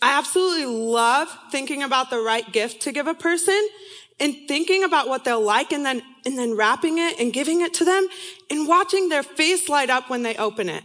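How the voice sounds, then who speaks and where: A woman with an American accent speaks at a fairly quick pace in a high pitch with lively intonation, over noticeable background noise. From San Diego, California. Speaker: student ministry intern and speaker. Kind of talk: sermon-style talk to students. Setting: stage with audience.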